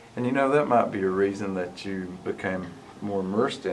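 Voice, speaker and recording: Heard with audible room echo, a man with an Appalachian accent speaks at a moderate pace, his pitch fairly low with ordinary variation. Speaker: interviewer and writer. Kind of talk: interview conversation.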